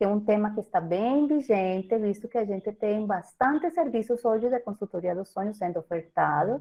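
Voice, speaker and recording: The woman's pitch is fairly high, and her intonation is lively. She keeps a moderate pace. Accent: Colombian. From Colombia. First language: Spanish (speaking Portuguese). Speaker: professor and breastfeeding consultant. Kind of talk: lecture.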